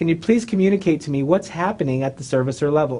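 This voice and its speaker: Lively intonation marks this man's somewhat breathy speech. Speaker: real estate trainer. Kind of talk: educational video monologue. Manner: fast.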